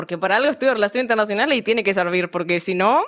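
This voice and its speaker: A woman speaks with an Argentine accent. Her pitch varies in an ordinary way. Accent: mild Argentine. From Misiones, Argentina. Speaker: university student. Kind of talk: casual chat.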